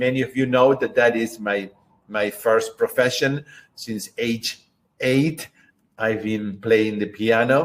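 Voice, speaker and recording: A man speaks very slowly in a Spanish accent, his pitch medium. His intonation stays fairly even. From Argentina. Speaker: book club host and concert pianist. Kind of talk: online book club discussion. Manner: halting with many fillers.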